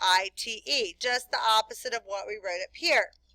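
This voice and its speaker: A woman speaks in a raised, projected voice with a bright, sharp tone. The sound is dry and close, with no echo. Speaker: chemistry teacher. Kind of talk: classroom lecture.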